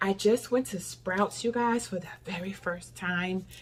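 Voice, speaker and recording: At a fairly slow pace, a woman talks in a plain, everyday voice. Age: 60s. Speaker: lifestyle vlogger. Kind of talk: casual vlog talk.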